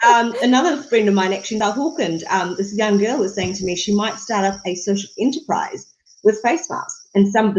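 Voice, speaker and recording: A woman has a normal speaking voice. It sits fairly high, with lively intonation. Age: 30s. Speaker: political candidate. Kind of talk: interview. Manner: many fillers (um, uh).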